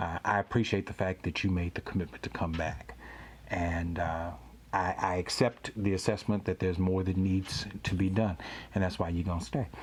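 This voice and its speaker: A man's very deep, low voice with an American accent, somewhat breathy, with ordinary pitch variation at a moderate pace. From US South, Louisiana (Baton Rouge). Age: 50s. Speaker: pastor and podcast host. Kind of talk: interview podcast.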